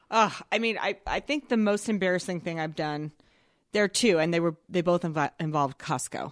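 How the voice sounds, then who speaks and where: On a very clean recording with a silent background, a woman with a fairly low pitch has an ordinary speaking voice, captured dry and close with no echo. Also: ordinary pitch variation, moderate pace. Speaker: Instagram content creator. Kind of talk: casual interview chat.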